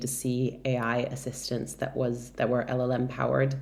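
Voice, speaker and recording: Audible room echo accompanies a woman with an American accent speaking at a moderate pace in a very deep, low voice. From Brazil. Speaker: tech product director. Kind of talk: interview.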